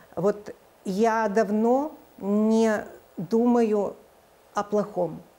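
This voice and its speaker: Her tone is dark and mellow. This woman keeps her intonation fairly even. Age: 50s. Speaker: charity organization chair; interviewee. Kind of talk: TV interview. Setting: studio. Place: studio.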